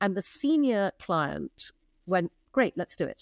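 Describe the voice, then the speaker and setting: A medium-pitched woman at a moderate pace with very wide pitch swings, dry, close sound with no echo, and a very clean recording with a silent background. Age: 60s. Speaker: advertising executive and entrepreneur. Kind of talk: interview conversation.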